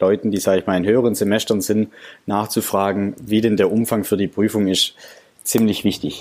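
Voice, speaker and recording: A man talks at a moderate pace in a fairly low pitch, with a normal speaking voice. The recording is very clean, with a silent background. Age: 20s. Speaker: engineering graduate, student podcaster. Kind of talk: casual interview.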